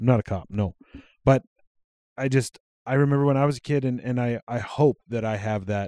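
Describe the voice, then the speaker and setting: A man with a Western Canadian accent speaks at a moderate pace with fairly even intonation. His dark, mellow tone comes through in a dry, close sound with no echo. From Alberta, Canada (Cold Lake, Sylvan Lake). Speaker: podcast co-host. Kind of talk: casual chat. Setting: home recording at co-host's house.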